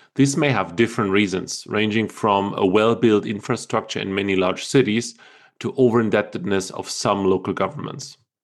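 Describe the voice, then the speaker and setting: In a normal speaking voice, a man with a fairly low pitch talks at a moderate pace with ordinary pitch variation against a quiet background. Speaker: commodities analyst. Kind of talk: interview.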